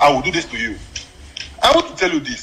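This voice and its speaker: Over noticeable background noise, a man uses a raised, projected voice at a fairly quick pace with very wide pitch swings. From Nigeria, Abia State. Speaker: caller. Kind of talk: phone-in comment.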